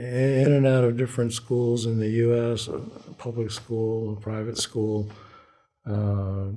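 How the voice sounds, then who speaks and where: Very slow, monotone speech with flat intonation comes through with audible room echo. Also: man, medium pitch for a man. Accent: American. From abroad, Foreign Service childhood, later Washington. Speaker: Vietnam War veteran. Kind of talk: oral history interview. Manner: halting.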